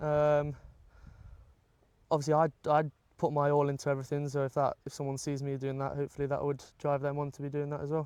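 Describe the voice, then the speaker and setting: A man's very fast, flat monotone at a fairly high pitch, with long, frequent pauses. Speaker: amateur football captain. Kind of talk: casual interview. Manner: loud.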